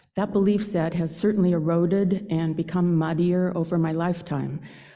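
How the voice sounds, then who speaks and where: A woman's dark, mellow tone at a fairly low pitch, with an American accent, flat monotone intonation and a moderate pace. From Northern California, Santa Rosa. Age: 70s. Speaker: lay speaker at a church service. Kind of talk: personal reflection talk in a worship service.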